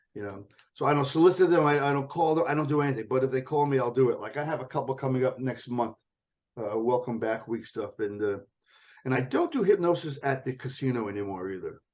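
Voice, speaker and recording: A man speaks at a very fast pace. His medium pitch has ordinary variation. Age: 70s. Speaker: comedy hypnotist and magician. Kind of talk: podcast interview. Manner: animated.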